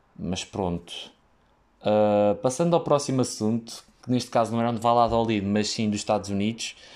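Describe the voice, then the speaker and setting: A man with a European Portuguese accent speaks at a moderate pace and medium pitch. His pitch varies in an ordinary way, and the recording is very clean with a silent background. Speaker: podcaster who works in hospitality. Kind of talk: casual solo monologue. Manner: halting, many fillers.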